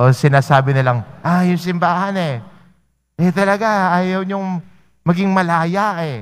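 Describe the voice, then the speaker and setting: A man's high voice at a fairly slow pace, with ordinary pitch variation and long, frequent pauses. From Philippines. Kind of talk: homily with gospel reading at Mass. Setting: church during Mass. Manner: conversational, anecdotal preaching with polite 'po/ho' and filler 'no'; gently exhortative, encouraging questions about faith. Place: church. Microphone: podium.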